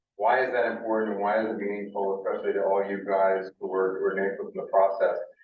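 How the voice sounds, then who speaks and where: A man's voice carries audible room echo. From Cape Cod, Massachusetts. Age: 60s. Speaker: nonprofit executive director. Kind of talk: public presentation. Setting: community meeting in a library.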